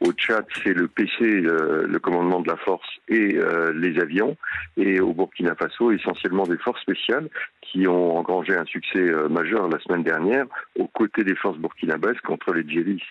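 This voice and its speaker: A man speaks at a moderate pace with a very deep, low pitch. His loudness stays very even. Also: ordinary pitch variation. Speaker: retired army general, military analyst. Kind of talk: radio interview.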